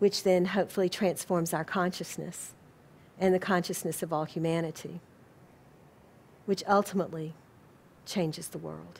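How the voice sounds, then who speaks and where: With an American accent, a woman speaks at a moderate pace in a fairly low, monotone voice with flat intonation, vocal fry and long, frequent pauses. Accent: southern US, comes out periodically. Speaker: spiritual organization president and lecturer. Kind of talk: lecture; audience Q&A. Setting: lecture hall with live audience.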